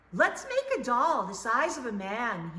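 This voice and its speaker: Someone performs a put-on character voice, raised and projected, at a moderate pace. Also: woman, high pitch for a woman. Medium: read story.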